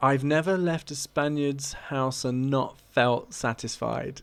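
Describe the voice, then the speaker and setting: In a British accent, the speech moves at a fairly slow pace with fairly even intonation. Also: man. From Britain. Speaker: YouTuber. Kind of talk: casual vlog commentary.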